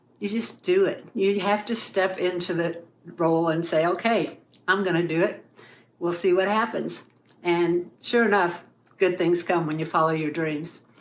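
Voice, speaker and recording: A woman's fairly low voice at a moderate pace, with fairly even intonation and audible room echo. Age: 60s. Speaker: artist sharing testimony. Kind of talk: testimony.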